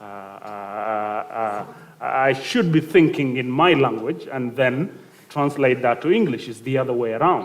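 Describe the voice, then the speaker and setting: Speaking at a fairly slow pace in a South Sudanese accent, a man keeps a medium pitch with ordinary pitch variation. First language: Dinka. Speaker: youth panelist. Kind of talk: panel discussion. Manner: halting, many fillers.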